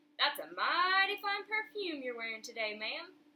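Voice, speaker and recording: A woman speaks in a put-on character voice at a moderate pace. Her pitch swings very widely. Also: extremely high pitch for a woman. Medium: read story. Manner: courteous, folksy.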